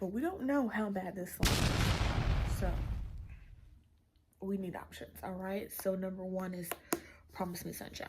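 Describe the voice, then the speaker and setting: Amid noticeable background noise and audible room echo, a woman with a medium pitch speaks with ordinary pitch variation and long, frequent pauses. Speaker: book vlogger. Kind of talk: casual vlog talk. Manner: casual, hesitant with many fillers.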